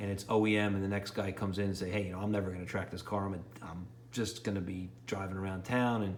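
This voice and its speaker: A man with a New York accent talks at a very fast pace. His pitch is fairly low, and there is audible room echo. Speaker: car enthusiast YouTuber. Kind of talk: DIY car repair tutorial. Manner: rambling, casual.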